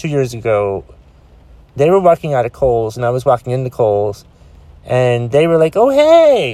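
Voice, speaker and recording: With a dark, mellow tone and lively intonation, a man speaks at a moderate pace, leaving long, frequent pauses. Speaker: podcast host. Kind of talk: solo rant podcast. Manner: loud, ranting.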